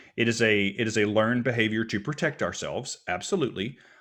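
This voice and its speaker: In a very clean recording with a silent background, the speaker talks at a fairly quick pace with an American accent and an animated tone. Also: man. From US Deep South. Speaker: minister and mental health speaker. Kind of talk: podcast interview.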